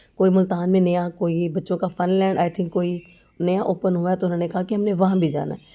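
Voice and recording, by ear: A woman speaks fairly quickly at a fairly low pitch. Her tone is dark and mellow, with fairly even intonation.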